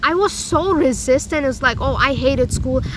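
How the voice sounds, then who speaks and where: Noticeable noise runs behind the voice. A woman is doing the talking. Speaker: self-help vlogger. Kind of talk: personal vlog monologue. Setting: outdoors. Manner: loud. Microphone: no microphone.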